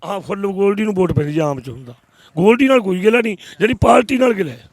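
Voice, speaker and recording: Big swings in loudness and very wide pitch swings mark this man's high-pitched voice. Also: moderate pace. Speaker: villager interviewed. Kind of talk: street interview.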